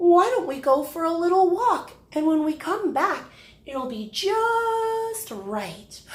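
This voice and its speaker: Putting on a character voice, a woman speaks fairly slowly at an extremely high pitch. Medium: read story.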